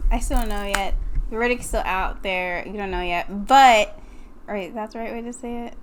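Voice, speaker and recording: A soft-spoken woman talks at a moderate pace in a fairly high pitch with ordinary pitch variation. Her loudness swings widely, and there is audible room echo. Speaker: podcast co-host. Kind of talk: casual chat. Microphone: far from the mic, too quiet.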